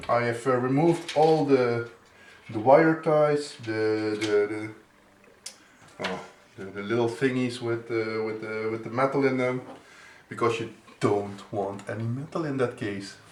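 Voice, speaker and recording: Amid noticeable background noise and audible room echo, a man with a medium pitch and ordinary pitch variation talks at a fairly slow pace with long, frequent pauses. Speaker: PC building tutorial maker. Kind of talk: tutorial. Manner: halting, many fillers and restarts.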